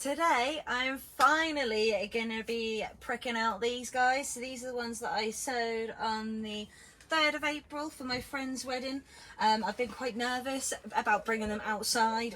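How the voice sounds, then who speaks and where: Here a woman talks with a British accent. Her pace is moderate and her pitch variation ordinary. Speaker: gardening vlogger. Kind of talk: casual vlog tutorial. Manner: loud. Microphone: no microphone, camera audio.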